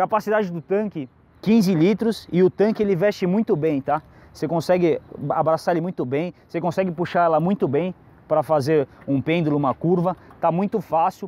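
Dark and mellow in tone, a man's high voice moves at a moderate pace with ordinary pitch variation and a dry sound with no echo. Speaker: motorcycle reviewer. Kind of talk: product review explanation. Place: street.

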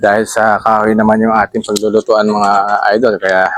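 The recording sounds dry and close, without any echo. A man is talking fairly quickly. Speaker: cooking vlogger. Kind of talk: cooking tutorial. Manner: casual, chatty.

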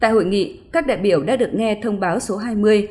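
The background is quiet. A woman speaks in a somewhat breathy voice. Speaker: radio news announcer. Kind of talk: news bulletin reading.

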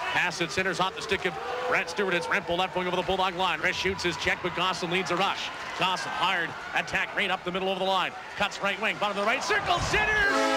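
Loud background noise fills the clip. Over it, a man talks at a very fast pace. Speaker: radio play-by-play announcer. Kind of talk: commentary.

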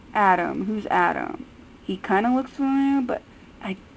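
A woman speaks with lively intonation while light noise sits in the background. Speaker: fan vlogger. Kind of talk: casual vlog commentary. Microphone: phone near.

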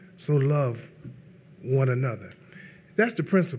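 A man speaks with an American accent and a somewhat breathy voice. His intonation is lively. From US Northeast. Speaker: pastor. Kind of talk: sermon-style panel talk. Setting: stage with audience. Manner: animated. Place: hall. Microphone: podium.

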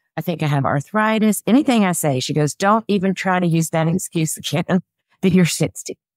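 With a Southern US accent, the speaker moves at a moderate pace and uses lively intonation, the sound dry with no echo over a quiet background. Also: woman. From US South. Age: 60s. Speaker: personal stylist. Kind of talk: interview. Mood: upbeat, animated. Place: home room. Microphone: webcam.

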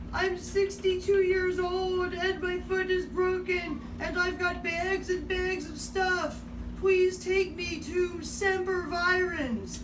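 Using a put-on character voice, a woman speaks at an extremely high pitch. She goes very slowly over loud background noise. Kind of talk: casual vlog chat. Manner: pleading, distressed.

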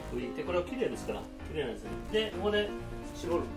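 Loud music plays in the background while a man talks at a very fast pace. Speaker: retired French chef and cooking teacher. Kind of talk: casual cooking talk to camera. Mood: relaxed, friendly. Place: kitchen. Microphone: phone near.

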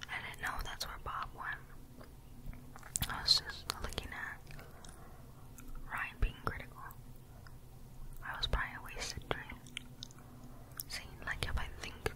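Someone whispers at a fairly slow pace, leaving long, frequent pauses, while noticeable background noise runs underneath. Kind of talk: ASMR whispered gameplay commentary. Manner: whispered, soft-spoken.

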